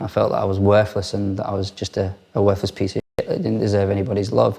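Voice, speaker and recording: A man talks at a very fast pace. His voice is fairly low. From Ireland. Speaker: recovering addict. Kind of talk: testimony. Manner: halting, with fillers and repeats.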